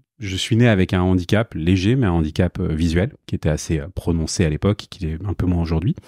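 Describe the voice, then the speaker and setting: With hardly any pauses and a fairly quick pace, a man speaks at a very deep, low pitch in a dark, mellow tone with ordinary pitch variation, the sound dry and close with no echo. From Paris, France. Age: 40s. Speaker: e-commerce director, freelancer. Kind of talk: interview. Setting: in person, Malakoff. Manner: hesitant, many fillers.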